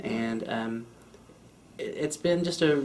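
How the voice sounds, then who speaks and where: Audible room echo carries a man's medium-pitched voice at a fairly slow pace. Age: 20s. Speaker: interviewee with spinal cord injury. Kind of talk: interview testimony. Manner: casual with frequent fillers.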